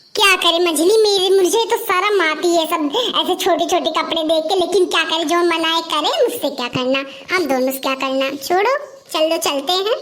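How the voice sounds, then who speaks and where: Over light background noise, a woman does a cartoonish character voice at an extremely high pitch and a moderate pace. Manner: gossipy, sharp-tongued.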